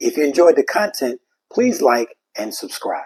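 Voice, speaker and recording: The sound is dry and close with no echo as a man speaks at a moderate pace with a New York accent. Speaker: history educator and video host. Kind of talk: scripted presentation. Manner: formal.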